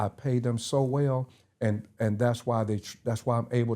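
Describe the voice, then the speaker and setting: A man speaks at a moderate pace in an Atlanta accent, his pitch medium. His tone is dark and mellow, and his intonation stays fairly even. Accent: Southern US (Atlanta). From US South. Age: 60s. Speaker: lawyer. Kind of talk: casual chat.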